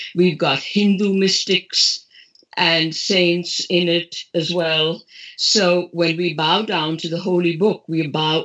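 Very slow and monotone, a woman speaks with flat intonation at a fairly low pitch. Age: 70s. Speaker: author. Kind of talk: interview.

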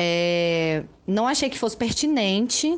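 A woman with a plain, everyday voice and a medium pitch speaks at a fairly slow pace over a quiet background. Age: 30s. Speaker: journalist and party official. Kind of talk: recorded statement.

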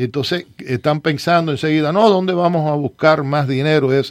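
A man with a normal speaking voice, fairly high-pitched, moderate pace and ordinary pitch variation. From eastern Cuba, Las Tunas. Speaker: city commissioner. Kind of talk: radio talk show interview.

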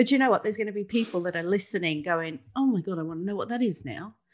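The speech comes at a very fast pace with lively intonation. The background is quiet. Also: woman. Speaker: podcast co-host. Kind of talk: casual chat. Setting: video call.

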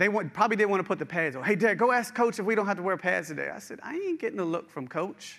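A man with a high pitch and a bright, sharp tone, with a slight West Virginia accent, lively intonation, a very fast pace and hardly any pauses. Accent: slight West Virginia twang. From eastern Panhandle, West Virginia. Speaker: executive pastor preaching. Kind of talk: sermon. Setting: church with live stream.

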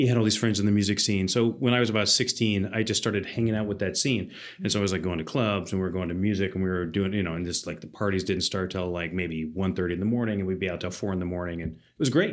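A man speaks in a very deep, low voice. He talks very fast with hardly any pauses. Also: ordinary pitch variation. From US South, Athens, Georgia. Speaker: landscape architect. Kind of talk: casual chat.

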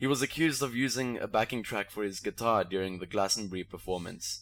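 A man with a South African accent talks fairly quickly with ordinary pitch variation. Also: very clean recording, silent background. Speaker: podcast host. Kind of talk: casual comedic banter.

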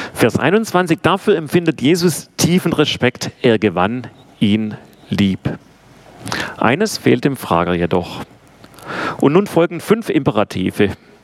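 Amid noticeable background noise, a man speaks very slowly with long, frequent pauses, a fairly high pitch, very wide pitch swings and very even loudness. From Swabia, Swabian Jura (southwest Germany). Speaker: theology professor. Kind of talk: lecture.

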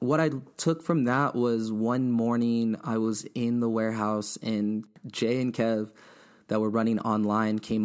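A man's medium-pitched voice with an American accent and fairly even intonation, in a very clean recording with a silent background. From Inland Empire, Southern California. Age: 20s. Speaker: designer and skate-culture creative. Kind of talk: interview. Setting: studio.

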